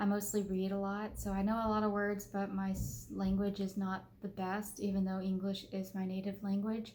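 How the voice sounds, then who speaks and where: Amid audible room echo, a woman at a medium pitch speaks at a fairly slow pace in a somewhat breathy, dark, mellow tone with monotone, flat intonation. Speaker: doll clothes sewing vlogger. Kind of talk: casual vlog outro. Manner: halting, stumbles over words; frequent filler words and self-corrections.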